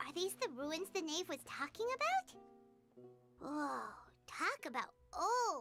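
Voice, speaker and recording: An extremely high-pitched put-on character voice at a fairly slow pace, with long, frequent pauses and faint music in the background. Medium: video game. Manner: brash.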